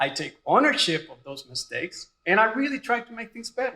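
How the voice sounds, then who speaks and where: A man with a Puerto Rican accent raises and projects his voice. His tone is bright and sharp. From Puerto Rico. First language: Spanish. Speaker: radiology residency program director. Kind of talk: graduation speech. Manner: casual, joking.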